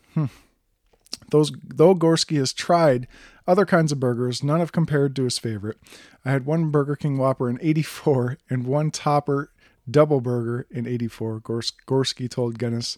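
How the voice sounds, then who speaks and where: A man's fairly high voice with an Upper Midwest accent, ordinary pitch variation and a moderate pace, in a very clean recording with a silent background and a dry, close sound with no echo. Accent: Upper Midwest American. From Wisconsin. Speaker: podcast host. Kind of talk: devotional podcast monologue. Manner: casual with fillers.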